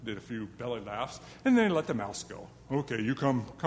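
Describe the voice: Simply plain reading aloud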